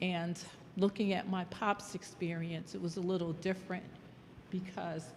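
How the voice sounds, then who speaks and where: In an American accent, a woman speaks at a fairly slow pace and fairly low pitch, her intonation monotone and flat. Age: 60s. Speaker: audience member. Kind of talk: audience comment.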